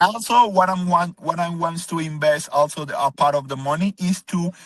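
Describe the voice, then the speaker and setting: Someone with a Spanish accent talks at a moderate pace with ordinary pitch variation, and the sound is dry and close with no echo. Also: man, high pitch for a man. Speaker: car wash owner pitching for investment. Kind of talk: business video call interview. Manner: halting, many fillers.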